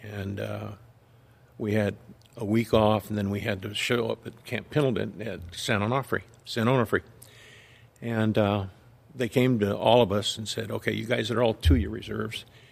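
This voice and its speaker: With an American accent and vocal fry, a man talks at a fairly low pitch and a moderate pace, his intonation fairly even and his speech broken by long, frequent pauses. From Southern California. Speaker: retired police officer. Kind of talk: testimony.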